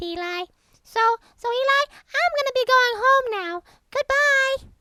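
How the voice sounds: A female-sounding, put-on character voice speaks at a fairly slow pace with an extremely high pitch.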